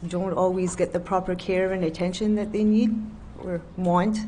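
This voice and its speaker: Spoken at a moderate pace with a dark, mellow tone, the voice is somewhat breathy, and audible room echo surrounds it. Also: woman. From New Brunswick, Canada. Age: 40s. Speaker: nursing home worker, witness. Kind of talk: testimony.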